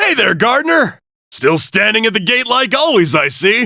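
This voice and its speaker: In a put-on character voice, the speaker projects at a raised volume with very wide pitch swings, a moderate pace and very even loudness. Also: man, high pitch for a man. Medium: video game. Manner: casual, breezy.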